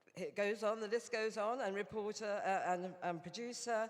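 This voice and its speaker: In a British accent, the speaker talks at a moderate pace with fairly even intonation. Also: woman. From England. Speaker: Rotary director and former journalist. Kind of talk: conference speech. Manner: hesitant, many fillers.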